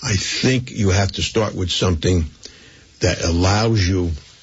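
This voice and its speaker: Delivered at a fairly slow pace, the speech keeps a fairly even intonation over noticeable background noise. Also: man. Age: 80s+. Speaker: community volunteer and philanthropist. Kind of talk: interview.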